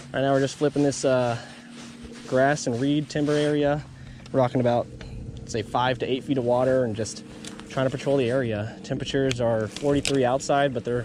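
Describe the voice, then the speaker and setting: Speaking at a moderate pace with long, frequent pauses, a man talks in a monotone, flat intonation over noticeable background noise, the sound dry with no echo. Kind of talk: casual vlog commentary. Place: boat. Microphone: phone near.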